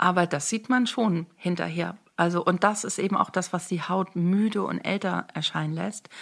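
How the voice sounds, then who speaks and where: A woman talks at a moderate pace on a very clean recording against a silent background. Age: 50s. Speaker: make-up artist and beauty coach. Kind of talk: casual interview.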